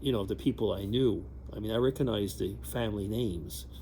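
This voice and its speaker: A man's fairly low voice with vocal fry and very wide pitch swings. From Quebec, Canada (bilingual small town). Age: 60s. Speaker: vlogger. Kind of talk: casual vlog monologue. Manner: hesitant, many fillers and restarts.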